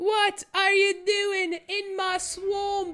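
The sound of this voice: A put-on character voice, squeaky and extremely high in pitch, with monotone, flat intonation.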